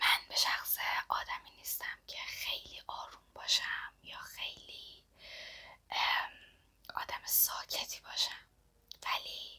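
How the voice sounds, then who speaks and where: Whispering at a very slow pace, a woman leaves long, frequent pauses while her loudness swings widely. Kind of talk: ASMR whisper talk to camera. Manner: soft-spoken, whispering.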